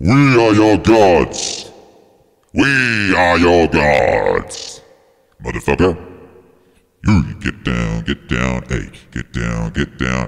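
Using a put-on character voice, a man talks very slowly at a very deep, low pitch, with very wide pitch swings and long, frequent pauses. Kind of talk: crude, barking orders. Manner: menacing, commanding.

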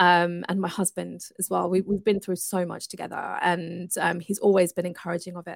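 A woman talks at a moderate pace with hardly any pauses, in a fairly low pitch with vocal fry. Her intonation is monotone and flat, and her loudness swings widely. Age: 40s. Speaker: entrepreneur and coach. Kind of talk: interview.

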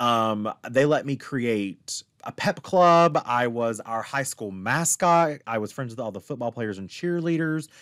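Here an ordinary speaking voice belongs to a man with an American accent, who talks at a fairly slow pace and medium pitch with lively intonation and hardly any pauses, in a dry, close sound with no echo. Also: very clean recording, silent background. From Appalachian Virginia, US. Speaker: queer coach and podcast guest. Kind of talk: casual interview chat.

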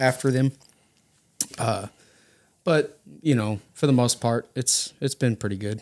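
A man with a Texan accent, long, frequent pauses, and a dry, close sound with no echo. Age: 30s. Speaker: dealer mechanic. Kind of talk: casual chat.

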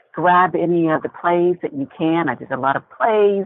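At a moderate pace, a woman with an American accent and a fairly low pitch speaks in a plain, everyday voice. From Indiana, US Midwest. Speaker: actress. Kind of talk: interview.

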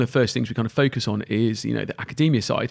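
A man talks at a fairly quick pace in a southern English accent. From England, Cotswolds. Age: 30s. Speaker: recruitment agency founder. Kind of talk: podcast interview.

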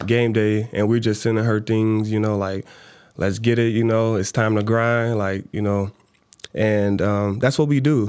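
Monotone and flat, a man with an American accent speaks at a fairly slow pace in a fairly low pitch. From Chicago South Side. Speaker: law student and part-time realtor. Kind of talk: interview.

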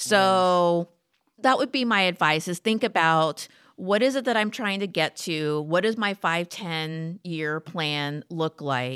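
A woman with an American accent speaks at a fairly slow pace in a plain, everyday voice, fairly low in pitch with lively intonation, on a very clean recording with a silent background. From South Texas. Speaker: corporate lawyer. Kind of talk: casual chat.

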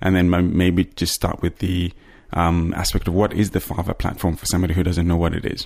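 In a very clean recording with a silent background, a man talks at a fairly quick pace in a very deep, low pitch. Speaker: podcast host. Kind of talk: interview. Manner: enthusiastic.

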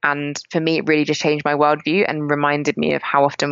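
A woman with an English accent, very deep and low in pitch, monotone and flat in intonation, at a fairly quick pace. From England, rural countryside. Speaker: climate justice activist. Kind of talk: interview conversation.

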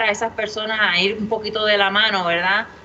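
A woman speaks at a medium pitch against noticeable background noise. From Puerto Rico, Humacao. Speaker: brewery co-founder. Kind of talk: casual interview chat.

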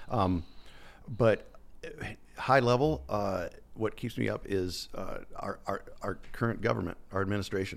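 A man speaks at a fairly slow pace. His pauses are long and frequent. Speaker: business CEO and climber. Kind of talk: casual interview. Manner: halting, hesitant.

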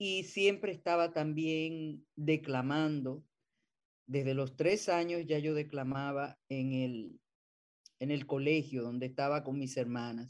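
Very slow speech comes from a woman with a very deep, low pitch and ordinary pitch variation. The background is quiet. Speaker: theatre actress and director. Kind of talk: interview.

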